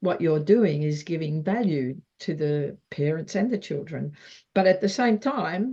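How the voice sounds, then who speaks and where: Against a quiet background, a woman with an Australian accent speaks at a fairly slow pace in a fairly low, somewhat breathy voice with a dark, mellow tone and lively intonation. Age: 70s. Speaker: wellness interview host. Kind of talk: interview.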